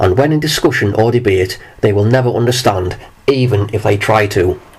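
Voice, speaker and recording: There is noticeable background noise while a man talks at a medium pitch. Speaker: video commentator. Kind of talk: monologue.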